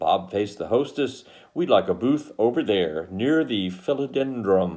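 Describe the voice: Intonation is lively throughout this plain reading aloud.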